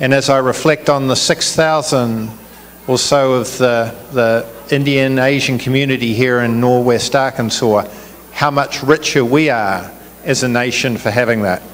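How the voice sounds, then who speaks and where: A man with a New Zealand accent and medium pitch talks at a moderate pace with very even loudness and fairly even intonation. There is audible room echo and noticeable background noise. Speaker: business executive, chief guest. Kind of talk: public speech. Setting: community event with audience.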